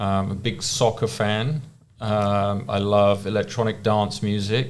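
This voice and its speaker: Audible room echo surrounds a man's voice. He has an English accent and a fairly low pitch. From England. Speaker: rehabilitation researcher. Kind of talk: podcast interview.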